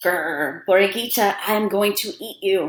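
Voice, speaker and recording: In a put-on, growling character voice, a woman speaks fairly slowly at a medium pitch with ordinary pitch variation. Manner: growling, threatening.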